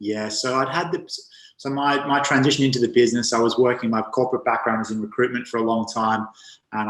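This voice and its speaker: A man with an Australian accent and fairly even intonation, music in the background. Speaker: men's health coach. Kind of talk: interview.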